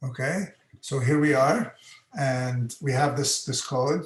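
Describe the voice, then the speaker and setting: The speech moves at a moderate speed. There is a somewhat breathy quality to the voice. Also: man. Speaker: university lecturer. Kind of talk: lecture. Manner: halting, many fillers.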